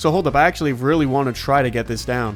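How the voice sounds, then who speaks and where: A man talks very fast in an animated tone over noticeable background noise. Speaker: gaming YouTuber. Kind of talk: gameplay commentary.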